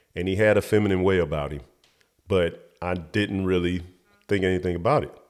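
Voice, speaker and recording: A man speaks with a very deep, low pitch in an American accent. His pace is moderate. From United States. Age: 20s. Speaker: talk show host. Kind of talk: personal storytelling monologue. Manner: halting.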